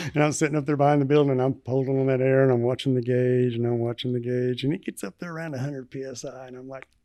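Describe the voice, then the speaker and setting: Speaking very fast with hardly any pauses, a man with a Southern US accent has a medium-pitched, dark, mellow tone, monotone, flat intonation and big swings in loudness. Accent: Southern twang. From US South, northwest Arkansas. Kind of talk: casual chat.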